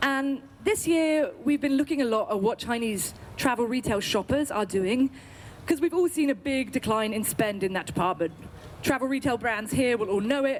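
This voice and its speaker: Speaking at a moderate pace in an English accent, a woman uses a high pitch, lively intonation and very even loudness. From UK. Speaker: agency representative pitching to industry audience. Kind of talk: sales pitch. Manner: enthusiastic.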